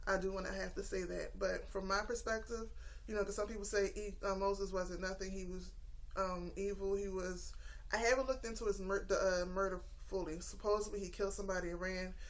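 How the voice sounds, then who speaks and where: Speaking at a fairly quick pace with monotone, flat intonation, a woman with a medium pitch is heard through audible room echo. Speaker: YouTuber sharing religious study. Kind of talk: casual monologue vlog. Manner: fast; hesitant, many fillers.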